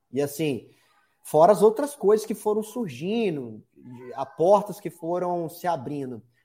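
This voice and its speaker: Very wide pitch swings shape this man's high-pitched, dark, mellow voice as he speaks at a fairly slow pace. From Espírito Santo, Brazil. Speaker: digital marketing consultant. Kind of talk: interview. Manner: energetic.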